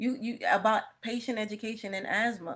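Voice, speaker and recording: The setting behind the voice is quiet. A woman talks with an animated tone. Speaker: respiratory therapist and asthma educator. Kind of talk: webinar presentation. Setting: video call.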